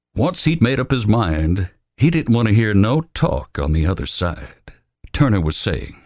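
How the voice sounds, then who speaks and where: On a very clean recording with a silent background, a man speaks in a dramatic tone with vocal fry. His pace is fairly slow and his pitch swings very widely. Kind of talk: hard-boiled moonshine fiction read aloud, narration with gruff character voices. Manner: tense and dramatic, with hard, cold pacing in the confrontations.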